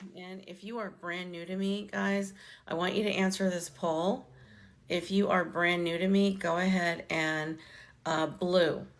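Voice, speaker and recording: A woman's fairly low voice, monotone and flat, at a fairly slow pace with big swings in loudness and audible room echo. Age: 60s. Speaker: online business coach. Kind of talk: live stream talk to viewers. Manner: casual, conversational.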